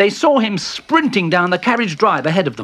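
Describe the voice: Plain reading aloud, the intonation lively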